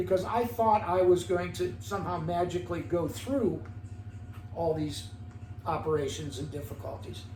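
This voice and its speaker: A man speaks at a fairly high pitch and a moderate pace. His pitch swings very widely, with audible room echo. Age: 70s. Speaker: podcast guest, older man in recovery. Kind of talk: interview. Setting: in host's home.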